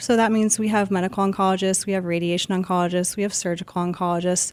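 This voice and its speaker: Speaking at a medium pitch, she is a woman. The recording is very clean, with a silent background. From US South, Georgia (Marietta, near Atlanta). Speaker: radiation oncologist. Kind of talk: podcast interview.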